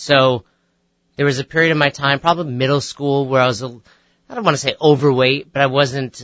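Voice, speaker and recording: In an American accent, a man with an unremarkable speaking voice talks at medium pitch with fairly even intonation. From New York, Westchester. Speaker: fitness coach and author. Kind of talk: radio interview. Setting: radio studio.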